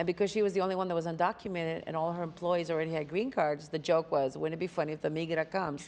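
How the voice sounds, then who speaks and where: Hardly pausing, a woman talks at a very fast pace. Her voice is fairly low, with fairly even intonation. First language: Spanish. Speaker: playwright. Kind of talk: interview Q&A.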